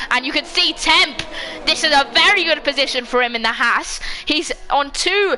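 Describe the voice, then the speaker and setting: Shouting in a raised, projected voice, a woman with a high pitch and lively intonation speaks at a moderate pace over noticeable background noise. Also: very even loudness. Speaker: sim racing league commentator. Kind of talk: live commentary. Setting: home livestream. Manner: loud, shouting.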